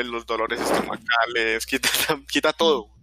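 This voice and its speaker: A man with a medium pitch talks at a fairly slow pace in a monotone, flat intonation, his tone bright and sharp, the sound dry and close with no echo. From Colombia, not Medellín. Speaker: podcast host. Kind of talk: casual chat. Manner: halting, repetitive.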